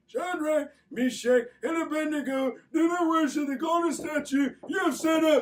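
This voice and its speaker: In a put-on character voice pitched high, the speaker goes at a moderate pace. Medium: read story. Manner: gloating, sly.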